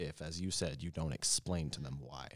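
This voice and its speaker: A man speaks with fairly even intonation in a dry, close sound with no echo, recorded very cleanly against a silent background. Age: 20s. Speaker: expectant father. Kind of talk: casual chat.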